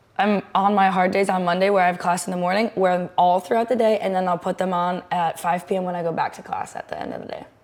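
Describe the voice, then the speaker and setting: Amid noticeable background noise, a woman with an American accent talks at a very fast pace and medium pitch, with hardly any pauses. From US Midwest. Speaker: college athlete and podcast host. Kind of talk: casual chat. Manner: animated.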